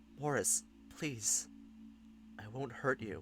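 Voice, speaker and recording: This is a shaky, put-on character voice. Music plays in the background. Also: man. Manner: pleading.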